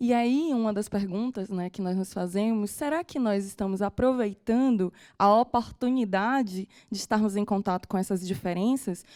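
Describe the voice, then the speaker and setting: A woman's dark, mellow voice in a northeastern Brazilian accent, at a moderate pace, on a very clean recording with a silent background. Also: medium pitch for a woman, ordinary pitch variation. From Northeast Brazil. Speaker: teacher. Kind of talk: lecture. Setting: studio.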